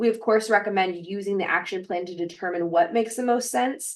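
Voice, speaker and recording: A woman talks at a fairly quick pace, her medium pitch showing ordinary variation. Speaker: webinar presenter. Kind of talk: webinar presentation. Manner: fast.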